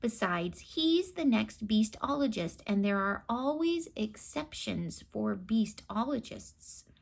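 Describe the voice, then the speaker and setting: A woman in a put-on character voice speaks at a fairly slow pace and fairly high pitch with hardly any pauses, in a very clean recording with a silent background. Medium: read story.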